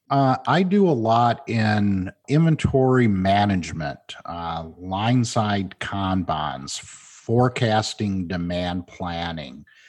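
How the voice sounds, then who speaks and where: Over a quiet background, a man with a Midwestern American accent talks very slowly in a fairly low voice. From Michigan, Flint. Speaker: management consultant. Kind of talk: interview.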